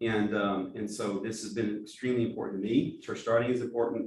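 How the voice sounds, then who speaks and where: A man speaks at a fairly quick pace with an American accent. His medium-pitched delivery is monotone and flat. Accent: East Texas accent with some Alabama. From East Texas. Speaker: pastor and church planting director. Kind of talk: training talk. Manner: halting, with repeated words.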